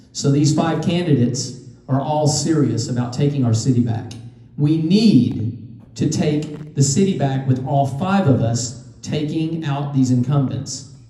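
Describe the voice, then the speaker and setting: A man with a fairly high pitch speaks in an animated tone at a fairly slow pace. Noticeable background noise and audible room echo surround him. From Tennessee (Knoxville, moved there at 12). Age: 60s. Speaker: political candidate, restaurant owner. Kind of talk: campaign speech. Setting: speaking to a room at a party meeting.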